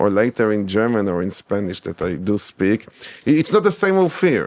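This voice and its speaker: A man talks at a moderate pace in a fairly low voice. His intonation is lively. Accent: Israeli. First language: Hebrew. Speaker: academic, scholar of medieval Hebrew texts. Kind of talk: interview conversation. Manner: halting, many repetitions and fillers.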